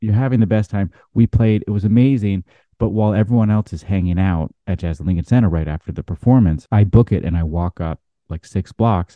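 An unremarkable speaking voice with an American accent, ordinary pitch variation and a fairly quick pace. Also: man, fairly low pitch for a man. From US Pacific Northwest, Seattle. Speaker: jazz trumpeter. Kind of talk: casual interview storytelling.

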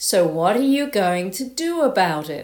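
Drawling at a moderate pace, this put-on character voice uses an Australian accent, a fairly high pitch, and very wide pitch swings.

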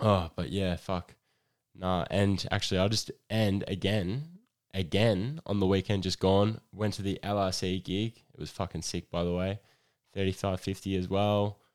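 A man speaks with an Australian accent at a fairly low pitch and a moderate pace, his intonation fairly even. The recording is very clean, with a silent background. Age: 20s. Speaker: podcast host. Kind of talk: casual monologue.

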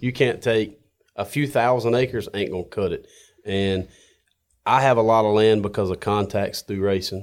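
In a North Carolina accent, a man speaks at a moderate pace with fairly low pitch and fairly even intonation, on a very clean recording with a silent background. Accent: Southern US (North Carolina). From North Carolina, Johnston County. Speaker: coyote hunter and racer. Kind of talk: casual chat. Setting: studio.

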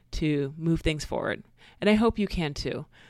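On a very clean recording with a silent background, a woman with a plain, everyday voice speaks at a fairly low pitch and moderate pace. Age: 30s. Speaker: podcast host and life coach. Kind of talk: casual monologue.

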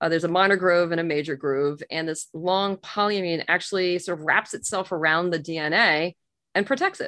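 A normal speaking voice from a woman, fairly low in pitch, at a moderate pace with fairly even intonation. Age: 50s. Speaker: physician. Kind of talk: interview.

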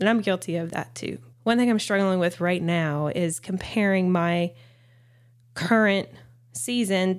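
A woman's medium-pitched voice with a Southern US accent, ordinary pitch variation and a moderate pace, on a very clean recording with a silent background. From US South. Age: 30s. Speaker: podcast host, mother and nurse practitioner. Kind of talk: casual monologue.

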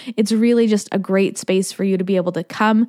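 A woman's fairly high pitch at a very fast pace, in a very clean recording with a silent background and a dry, close sound with no echo. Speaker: podcast host, confidence coach. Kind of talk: solo podcast monologue.

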